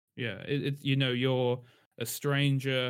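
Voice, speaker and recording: A man with a London accent speaks at a moderate pace in a monotone with flat intonation, on a very clean recording with a silent background. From London, England. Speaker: writer. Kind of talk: casual chat.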